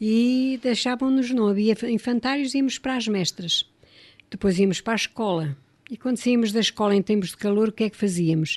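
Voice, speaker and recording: Fairly high, somewhat breathy female speech with big swings in loudness, dry and close with no echo, over a quiet background. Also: ordinary pitch variation, moderate pace. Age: 60s. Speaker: radio guest reminiscing. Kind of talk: radio interview, personal reminiscence.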